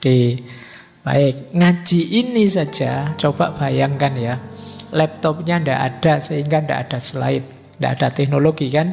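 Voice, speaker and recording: With music in the background, a soft-spoken man talks at a fairly slow pace and a fairly high pitch, with ordinary pitch variation. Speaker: philosophy lecturer. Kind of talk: lecture. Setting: hall with live audience, PA system.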